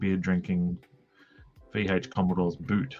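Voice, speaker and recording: A man with an Australian accent and lively intonation, music playing in the background. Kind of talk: casual, everyday.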